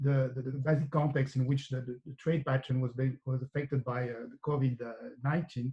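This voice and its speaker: Spoken in a French accent at a moderate pace, the voice has a dark, mellow tone. It is somewhat breathy, with fairly even intonation. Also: man. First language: French (speaking Portuguese). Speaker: economics professor. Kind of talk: academic seminar presentation. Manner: halting, many fillers.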